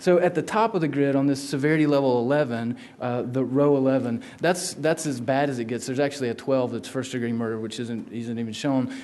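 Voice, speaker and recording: Talking at a fairly quick pace with a Southern US accent, a man uses a medium pitch and ordinary pitch variation amid audible room echo. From South Carolina, US South. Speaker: law researcher. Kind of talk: lecture.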